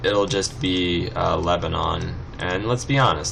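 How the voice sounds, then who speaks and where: Noticeable background noise and audible room echo surround a man with an American accent. He speaks at a very slow pace with lively intonation. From California. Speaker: let's play gamer. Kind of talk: gameplay commentary. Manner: casual, rambling with fillers.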